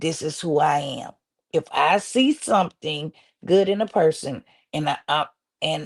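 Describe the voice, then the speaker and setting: A woman's animated voice with vocal fry and ordinary pitch variation, dry and close with no echo. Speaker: social media commentator and blogger. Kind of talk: interview. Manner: halting.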